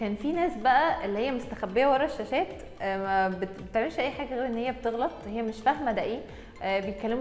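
Over light background noise and audible room echo, a woman talks at a fairly quick pace with ordinary pitch variation. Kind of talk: interview answer. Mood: warm, reflective, smiling. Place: studio. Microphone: lapel.

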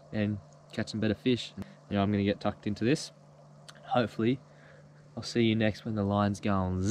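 Speaking at a very fast pace, a man with a fairly low pitch keeps a monotone, flat intonation, with a dry sound, no echo, and light background noise. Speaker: fishing vlogger. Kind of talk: casual vlog chat. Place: boat.

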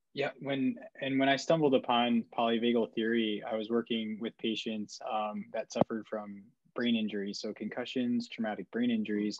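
A man speaks at a moderate pace with fairly even intonation. The sound is dry with no echo, and the background is quiet. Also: medium pitch for a man. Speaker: clinician and show host. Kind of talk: interview. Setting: video call. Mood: calm, respectful. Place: home room. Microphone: earbuds.

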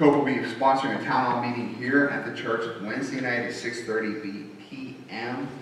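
Recorded with strong room echo and light background noise, a man is speaking. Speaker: pastor. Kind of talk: church announcements. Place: church. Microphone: podium.

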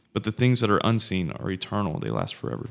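The recording is very clean, with a silent background. A man with a fairly low voice speaks in a Southern US accent. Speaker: podcast co-host. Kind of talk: casual chat.

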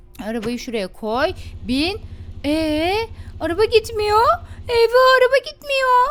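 An extremely high-pitched woman's voice at a very slow pace, with very wide pitch swings and long, frequent pauses. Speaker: gaming youtuber. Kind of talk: gameplay commentary. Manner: animated.

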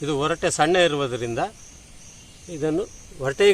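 In a normal speaking voice, a man talks at a fairly high pitch with lively intonation. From Uttara Kannada, Karnataka (Sirsi). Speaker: farmer and mango variety conservationist. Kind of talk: casual explanation on camera.

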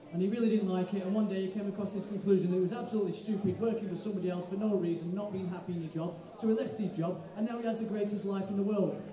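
The speech comes at a very fast pace with few pauses and audible room echo. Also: man, high pitch for a man, fairly even intonation.

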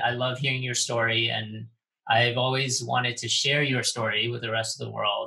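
This is a man with a normal speaking voice. He has a medium pitch and talks at a moderate pace. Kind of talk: casual interview.

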